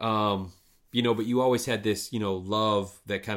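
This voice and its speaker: A plain, everyday voice with an American accent and fairly even intonation, on a very clean recording with a silent background. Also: man. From northern lower Michigan. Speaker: podcast host. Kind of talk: casual interview chat.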